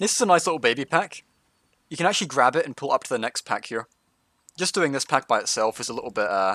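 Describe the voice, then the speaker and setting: A man with a Scottish accent speaks at a very fast pace in a fairly high pitch. His tone is bright and sharp, and his pitch swings very widely. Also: dry, close sound with no echo. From Scotland. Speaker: gaming streamer, tank guide. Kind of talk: live gameplay stream with commentary and chat. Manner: casual, conversational.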